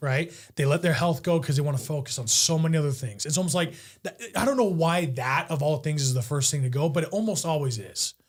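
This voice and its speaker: A man's fairly high-pitched, somewhat breathy voice comes at a very fast pace. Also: ordinary pitch variation. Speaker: podcast host. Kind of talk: podcast interview talk.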